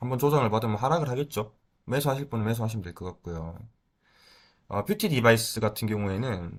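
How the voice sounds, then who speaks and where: A man speaks at a fairly quick pace with lively intonation on a very clean recording with a silent background. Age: 30s. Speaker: stock market YouTuber. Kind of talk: casual market commentary. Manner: hesitant, filler-heavy.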